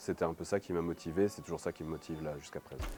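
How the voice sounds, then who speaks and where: A man speaks with a dark, mellow tone. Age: 30s. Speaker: TV journalist and basketball commentator, co-runner of a hip-hop media channel. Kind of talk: casual to-camera presentation. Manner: hesitant, many fillers.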